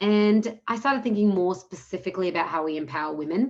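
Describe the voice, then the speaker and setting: Speaking at a fairly quick pace with an Australian accent, a woman uses lively intonation. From Australia, Melbourne. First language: Punjabi. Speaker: nonprofit founder. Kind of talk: interview.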